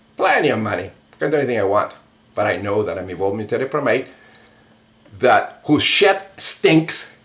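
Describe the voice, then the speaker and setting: A man with a medium pitch speaks at a moderate pace in an animated tone, his pitch swinging very widely over noticeable background noise. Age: 60s. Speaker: atheist video blogger. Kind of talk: angry rant to camera. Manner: halting.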